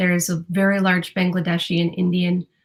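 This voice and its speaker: A woman's voice sounds somewhat breathy. Her intonation is monotone and flat. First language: Spanish. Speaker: newspaper reporter. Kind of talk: interview. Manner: hesitant, many fillers.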